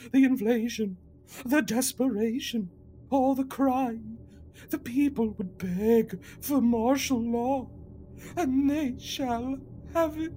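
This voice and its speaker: A female-sounding put-on character voice speaks at a fairly high pitch and a very slow pace. Long, frequent pauses break it up, and background noise is clear. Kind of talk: comic overacting. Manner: pompous, grandiose, unhinged.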